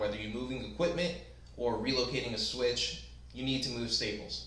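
A man's voice carries audible room echo. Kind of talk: tutorial. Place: workshop.

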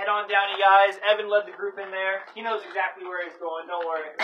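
Amid noticeable background noise, a man with a high-pitched voice talks at a fairly quick pace in a monotone, flat intonation. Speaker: cave tour guide. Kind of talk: tour guide instructions. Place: tunnel cave. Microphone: camera far.

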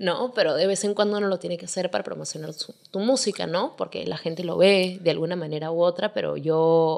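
Over a quiet background, a woman with vocal fry talks at a fairly low pitch with ordinary pitch variation and hardly any pauses. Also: fairly quick pace. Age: 20s. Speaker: singer; podcast guest. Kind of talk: casual chat. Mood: relaxed, candid. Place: home room. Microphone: studio mic.

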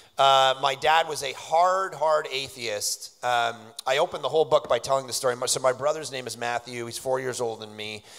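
An unremarkable speaking voice at a moderate pace, with ordinary pitch variation, big swings in loudness, and a quiet background. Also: man. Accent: Canadian. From Canada, Toronto. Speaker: pastor and author. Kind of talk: interview on stage at a conference. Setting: stage with audience. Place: stage. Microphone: handheld.

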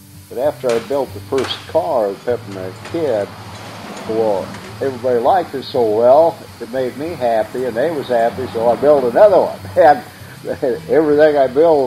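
Over music in the background, a man with a Midwestern American accent talks at a moderate pace and medium pitch. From Grand Island, Nebraska. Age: 70s. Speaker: auto body worker and novelty car builder. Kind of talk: casual interview answer. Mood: cheerful, proud. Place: workshop.

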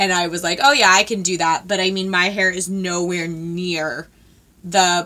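This voice has a bright, sharp tone, moving at a fairly slow pace with fairly even intonation. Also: woman. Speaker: beauty vlogger. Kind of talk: casual vlog chat. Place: home room.

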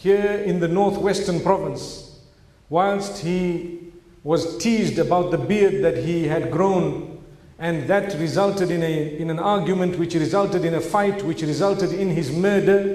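A man speaks with a high pitch and fairly even intonation. Some room echo can be heard. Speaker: speaker. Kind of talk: sermon. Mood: solemn, sorrowful. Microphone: podium.

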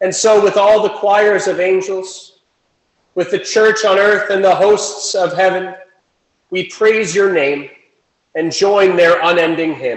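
Against a quiet background with audible room echo, a man speaks at a fairly slow pace in a high pitch for a man, with fairly even intonation. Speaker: worship leader; presiding minister. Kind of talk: liturgy. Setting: church. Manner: formal. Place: church. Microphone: camera far.

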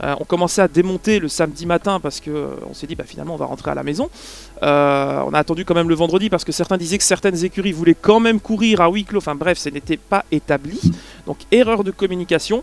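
Speaking at a very fast pace, a man uses a high pitch with ordinary pitch variation in a dry sound with no echo. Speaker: podcast co-host. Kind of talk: commentary discussion. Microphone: headset.

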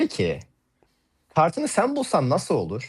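A man's voice carries vocal fry in a very clean recording against a silent background. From Turkey, Hatay. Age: 20s. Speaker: card magician. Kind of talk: live magic demonstration. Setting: voice call on a livestream.

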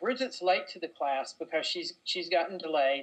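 A woman speaks in a Southern US accent at a moderate pace. Her pitch is fairly low, with ordinary variation. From North Carolina, US. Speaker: novelist. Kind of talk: interview answer.

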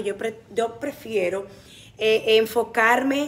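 A woman is speaking. She has a Dominican accent. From Dominican Republic. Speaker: TV comedy actress and presenter; TV comedy actress, presenter. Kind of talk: interview. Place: studio. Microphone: phone near.

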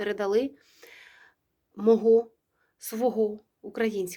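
A woman's dark, mellow voice in a monotone, flat delivery, on a very clean recording with a silent background. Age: 40s. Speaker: historian and ethnologist, video blogger. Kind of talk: personal address to viewers.

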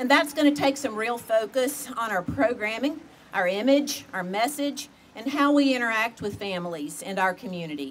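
A woman's fairly high-pitched voice with lively intonation at a moderate pace, over light background noise. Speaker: school board official. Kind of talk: ceremonial speech. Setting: stage with audience. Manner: formal. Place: street. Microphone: podium.

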